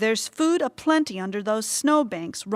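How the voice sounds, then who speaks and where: Doing a put-on character voice, a woman growls in a gruff, fairly high pitch with very wide pitch swings at a moderate pace, the sound dry and close with no echo. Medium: read story. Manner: gruff, growling.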